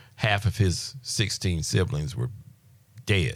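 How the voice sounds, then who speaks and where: A man's very deep, low voice with vocal fry and lively intonation at a fairly slow pace, in a very clean recording with a silent background. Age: 60s. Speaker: healing ministry teacher. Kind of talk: testimony; religious teaching. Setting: radio studio interview.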